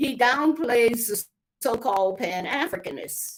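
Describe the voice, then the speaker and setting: A woman's high voice with an American accent, lively intonation and a fairly slow pace. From United States. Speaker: author and herbal healer. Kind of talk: casual interview chat.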